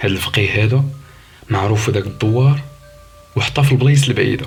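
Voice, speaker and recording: Music plays in the background as a man talks at a moderate pace, his medium pitch showing ordinary pitch variation. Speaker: storyteller. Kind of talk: horror story narration.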